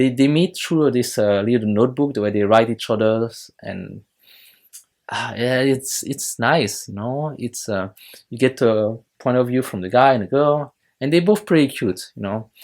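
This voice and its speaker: With a French accent, a man speaks using ordinary pitch variation. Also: medium pitch for a man, moderate pace. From France. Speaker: YouTuber reviewing films and shows. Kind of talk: casual video review monologue. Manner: hesitant, many fillers.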